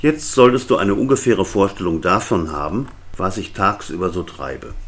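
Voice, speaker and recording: A man talks at a moderate pace. His pitch moves in very wide swings. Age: 60s. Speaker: podcaster, retired web publisher. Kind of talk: solo monologue podcast.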